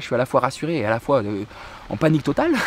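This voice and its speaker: The sound is dry and echo-free. A man speaks very fast. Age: 20s. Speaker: travel vlogger. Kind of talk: casual storytelling vlog. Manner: halting, many repetitions and fillers. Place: garden. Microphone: phone near.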